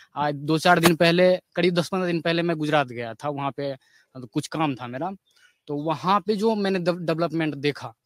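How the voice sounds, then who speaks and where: In an ordinary speaking voice, a man talks at a moderate pace with a fairly high pitch and ordinary pitch variation, in a dry, close sound with no echo. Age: 20s. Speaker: young voter, recent graduate. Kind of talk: street interview.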